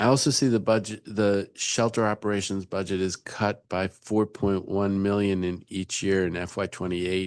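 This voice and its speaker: This man has a fairly low pitch and fairly even intonation. He keeps a moderate pace with hardly any pauses, against a quiet background. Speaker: council member chairing hearing. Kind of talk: government oversight hearing. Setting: council hearing room, also on Zoom. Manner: soft-spoken.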